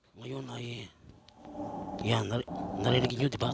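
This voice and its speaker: Here a man speaks at a moderate pace in a medium pitch. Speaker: vlogger. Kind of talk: casual vlog talk. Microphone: cheap earphone mic, voice quiet.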